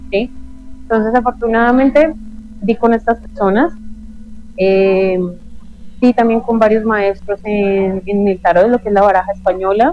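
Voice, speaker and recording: A woman speaks at a moderate pace in a medium pitch, with ordinary pitch variation and long, frequent pauses. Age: 30s. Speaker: witch and esoteric practitioner. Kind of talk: interview conversation.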